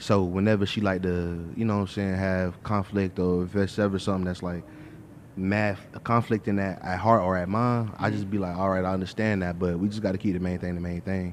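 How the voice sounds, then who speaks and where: This man's voice sits at a very deep, low pitch with monotone, flat intonation. He speaks at a fairly quick pace. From South Miami, Florida. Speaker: music producer. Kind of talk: casual group chat.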